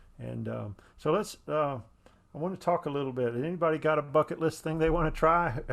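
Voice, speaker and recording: A man speaks at a fairly quick pace with a fairly high pitch. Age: 60s. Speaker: event organizer and cyclist. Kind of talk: casual chat. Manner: animated.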